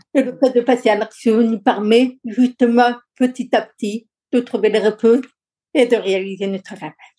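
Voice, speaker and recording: Her tone is dark and mellow, her pitch fairly high for a woman. She keeps a moderate pace and fairly even intonation. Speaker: lawyer, coach and public speaker. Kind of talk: interview conversation.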